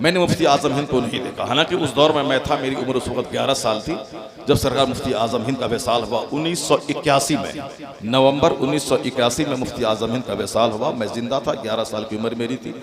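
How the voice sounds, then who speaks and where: There is audible room echo and noticeable background noise. A man talks at a moderate pace, with medium pitch and ordinary pitch variation. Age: 50s. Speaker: Islamic cleric. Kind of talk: religious speech. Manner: animated.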